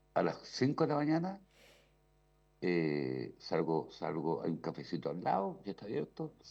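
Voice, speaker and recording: With a dark, mellow tone and vocal fry, a man speaks at a fairly slow pace while his pitch swings very widely. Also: fairly low pitch for a man. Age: 60s. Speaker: radio commentator. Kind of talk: casual chat.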